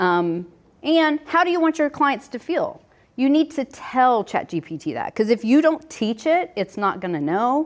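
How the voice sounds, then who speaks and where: On a very clean recording with a silent background, a woman talks at a moderate pace, her pitch swinging very widely. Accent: slight Southern US. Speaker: home inspector running a realtor workshop. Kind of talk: workshop presentation. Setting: in-person workshop with audience. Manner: casual, conversational.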